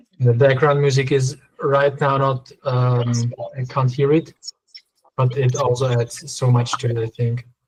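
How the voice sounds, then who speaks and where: This man's somewhat breathy voice keeps a moderate pace. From Austria. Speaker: interviewer, channel owner. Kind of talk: interview. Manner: halting.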